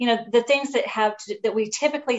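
A woman with a plain, everyday voice talks at a fairly quick pace with ordinary pitch variation. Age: 40s. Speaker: author. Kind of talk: interview.

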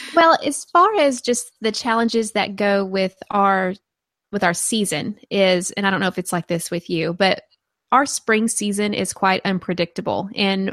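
On a very clean recording with a silent background and a dry, close sound with no echo, a woman with a medium pitch speaks at a moderate pace in a Southern US accent. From rural Arkansas. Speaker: gardening podcaster and blogger. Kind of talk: casual interview.

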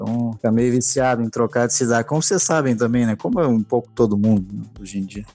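A man talking at a very fast pace with hardly any pauses, music playing in the background. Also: medium pitch for a man, ordinary pitch variation. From southern Brazil, Porto Alegre. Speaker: diplomat. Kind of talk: interview.

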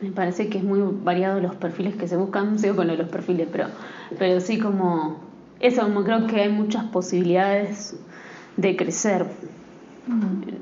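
In an Argentine accent, the flat, monotone speech comes with audible room echo and noticeable background noise. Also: woman, medium pitch for a woman, moderate pace. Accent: mild Argentine. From Argentina. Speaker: actress and singer. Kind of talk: interview. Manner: hesitant, many fillers.

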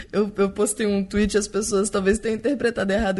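Here a woman speaks at a very fast pace in an animated tone. Her pitch is medium. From Brazil. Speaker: podcaster. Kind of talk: casual chat. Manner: animated, laughs often.

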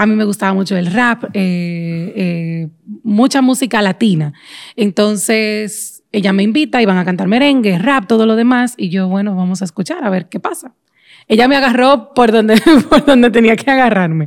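A woman's fairly high voice, an unremarkable speaking voice, delivered at a moderate pace with lively intonation. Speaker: podcast host. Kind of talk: casual chat.

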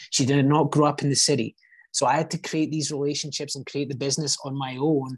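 A man with an American accent speaks very fast in a somewhat breathy voice at a fairly high pitch. His intonation is monotone and flat, and the background is quiet. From Scotland. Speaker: real estate agent. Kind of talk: casual interview chat.

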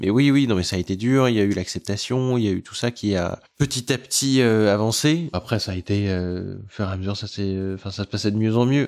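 A man's ordinary speaking voice, fairly low in pitch and at a fairly quick pace, on a very clean recording with a silent background. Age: 30s. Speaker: terror attack survivor, author. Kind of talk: testimony.

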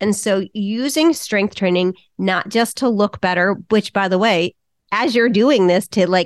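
A woman with a plain, everyday voice and a medium pitch speaks at a moderate pace in a dry, close recording with no echo. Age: 50s. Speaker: fitness coach for women over 40. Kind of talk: interview. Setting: remote call.

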